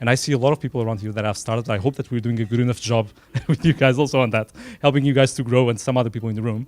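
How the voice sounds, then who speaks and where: A man speaks with a Portuguese accent. His pitch sits in the middle range. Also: dry, close sound with no echo. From Portugal, Lisbon. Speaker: tech company startup program representative. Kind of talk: event speech. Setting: small room dinner event. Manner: unscripted, from the heart.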